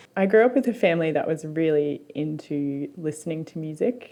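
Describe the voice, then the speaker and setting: Her pitch sits very deep and low. This woman talks with an Australian accent. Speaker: musician. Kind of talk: documentary interview.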